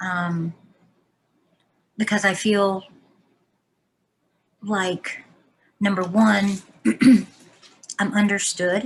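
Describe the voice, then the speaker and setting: Her voice is somewhat breathy and sits at a medium pitch. The woman speaks at a very slow pace with long, frequent pauses. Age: 50s. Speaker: person living with young onset Alzheimer's. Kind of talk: interview. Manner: halting, searching for words.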